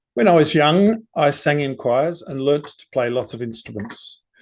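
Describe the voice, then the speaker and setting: The speaker talks at a moderate pace in an Australian accent, with ordinary pitch variation. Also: man. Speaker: composer and conductor. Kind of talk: lecture. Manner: formal.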